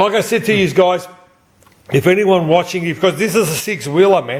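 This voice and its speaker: A man with an Australian accent speaks in an animated tone at a moderate pace, his pitch high with ordinary variation. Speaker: pinball and slot machine repairer. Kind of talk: casual chat. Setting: at a friend's place with people present.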